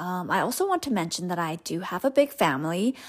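The speaker is a woman with a Southeast Asian accent. Her pitch is medium. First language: Hmong. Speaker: podcast host, spiritual coach. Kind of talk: personal storytelling monologue. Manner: casual, filler-heavy.

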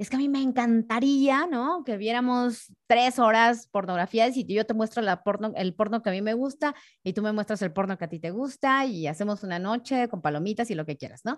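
With a quiet background, a woman talks at a moderate pace with lively intonation and hardly any pauses. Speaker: sexologist and voice announcer. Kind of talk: casual interview.

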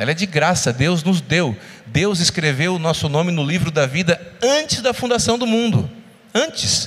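A man speaks in a high voice with lively, bouncing intonation. Noticeable background noise sits behind him. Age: 40s. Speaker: lay preacher and physician. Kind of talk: sermon. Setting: church.

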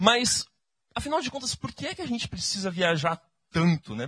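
Speaking at a fairly quick pace, a man has a bright, sharp tone and an animated delivery with very wide pitch swings. The sound is dry and close with no echo. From Brazil. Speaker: church speaker. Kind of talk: sermon.

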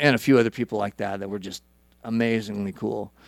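In a very clean recording with a silent background, a man with an American accent talks at a fairly low pitch in monotone, flat intonation. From Idaho. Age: 40s. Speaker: musician. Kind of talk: casual chat.

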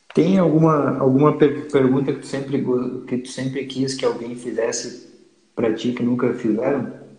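A man's medium-pitched voice at a moderate pace, with fairly even intonation and audible room echo. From Santa Catarina, Brazil (Lages). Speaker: podcast host. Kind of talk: casual chat. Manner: halting.

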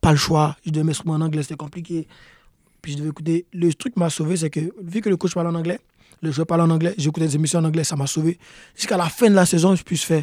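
In a fairly high pitch, a man talks at a very fast pace with fairly even intonation. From Ivory Coast, then Quebec. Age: young. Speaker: professional soccer player. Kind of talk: interview.

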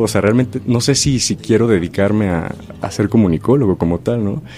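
With lively intonation and a fairly quick pace, a man talks over noticeable background noise. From Mexico, Chilpancingo, Guerrero. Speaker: stage actor. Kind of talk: radio interview.

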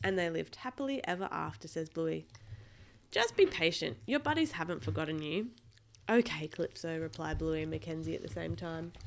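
Fairly quick speech from a woman with an Australian accent. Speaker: podcast host and parent. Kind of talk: reading aloud. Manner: animated.

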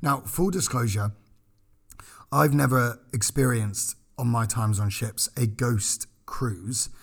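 Somewhat breathy, a man speaks at a fairly slow pace with a medium pitch and ordinary pitch variation. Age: 20s. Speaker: podcast co-host, former cruise ship crew. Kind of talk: casual chat. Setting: studio.

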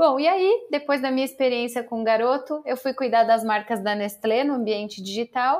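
In a very clean recording with a silent background, a woman speaks at a moderate pace in a high pitch. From Brazil, São Paulo state interior. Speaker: public relations professional and academic. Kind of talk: interview.

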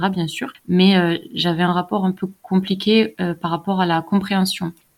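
Here is a woman with an ordinary speaking voice and a medium pitch. She talks at a fairly slow pace with fairly even intonation. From southern France, countryside. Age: 20s. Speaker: Quran learner, convert. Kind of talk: testimony.

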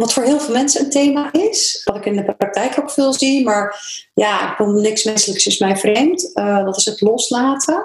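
Lively intonation runs along with hardly any pauses. Audible room echo and noticeable background noise fill the recording. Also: woman, high pitch for a woman, moderate pace. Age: 50s. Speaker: psychologist. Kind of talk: interview.

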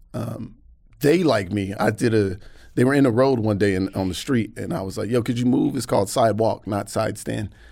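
A man's fairly low voice, dark and mellow in tone, with vocal fry and ordinary pitch variation. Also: fairly quick pace. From US South, Atlanta. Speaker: comedian. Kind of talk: casual chat. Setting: studio.

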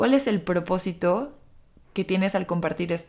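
A woman speaks at a medium pitch with lively intonation. The recording is very clean, with a silent background. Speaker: podcast host, personal growth coach. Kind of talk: reflective solo monologue. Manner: slow, gentle.

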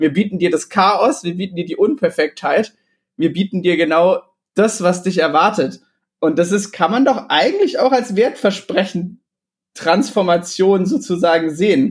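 A man's high pitch with ordinary pitch variation. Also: moderate pace. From Bavarian Swabia, southern Germany (Illertissen). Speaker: podcast co-host. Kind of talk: casual chat. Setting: remote recording. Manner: hesitant, many fillers.

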